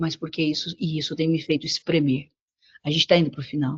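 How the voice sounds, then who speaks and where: A woman talks at a moderate pace. Her voice is somewhat breathy. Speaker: preacher. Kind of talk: sermon. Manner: animated.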